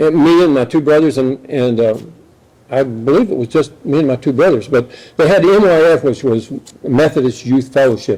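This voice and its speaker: With an American accent and a dark, mellow tone, a man speaks at a moderate pace with lively intonation. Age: 70s. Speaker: speaker at atheist meetup. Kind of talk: personal testimony talk. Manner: halting, many fillers.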